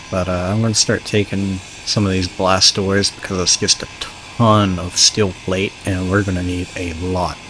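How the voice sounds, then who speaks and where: The speech goes at a moderate pace over noticeable background noise. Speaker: gaming YouTuber. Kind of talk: let's play commentary. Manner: halting, many filler words.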